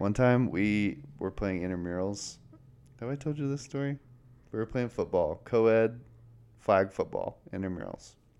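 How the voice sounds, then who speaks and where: A man in an ordinary speaking voice keeps a moderate pace, his medium pitch varying in an ordinary way. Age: 20s. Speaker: podcast host, design firm co-owner. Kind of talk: casual chat.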